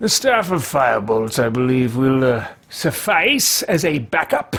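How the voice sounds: A man uses a put-on character voice at medium pitch with a fairly bright tone. He speaks at a fairly slow pace with big pitch swings.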